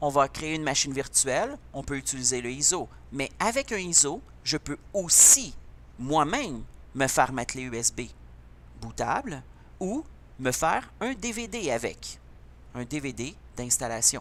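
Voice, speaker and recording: Speaking with a Quebec accent, a man goes at a fairly slow pace with long, frequent pauses. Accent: Québécois. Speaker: computer teacher. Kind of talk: tutorial.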